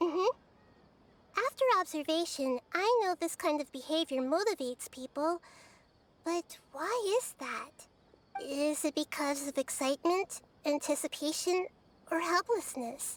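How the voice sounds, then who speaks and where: A female-sounding, put-on character voice rises to an extremely high pitch. It keeps a moderate pace broken by long, frequent pauses. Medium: video game. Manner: soft, calm, thoughtful.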